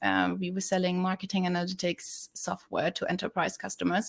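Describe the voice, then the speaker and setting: A woman speaks with a German accent. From Germany. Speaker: sales development representative. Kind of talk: webinar interview. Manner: casual with many fillers and repetitions.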